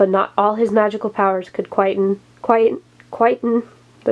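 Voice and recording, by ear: In a natural voice, the text is read aloud with intonation that stays fairly even.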